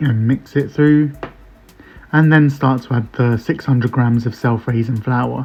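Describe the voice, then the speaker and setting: Music plays in the background as the speaker talks at a moderate pace. The tone is relaxed and the intonation fairly even. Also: man. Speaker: home cook. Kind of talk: recipe voice-over. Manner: casual, relaxed.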